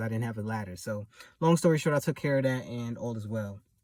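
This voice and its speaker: Somewhat breathy, a man's voice comes through. He talks at a fairly quick pace. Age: 30s. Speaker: vlogger and house cleaner. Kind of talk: casual vlog monologue. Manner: laid back; soft-spoken.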